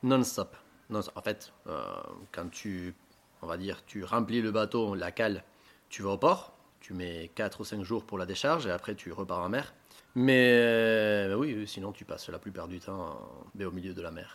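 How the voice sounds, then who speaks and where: A fairly low-pitched man at a fairly slow pace, with long, frequent pauses and big swings in loudness. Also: ordinary pitch variation. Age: 30s. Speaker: fisherman, fishing boat officer. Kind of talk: casual interview.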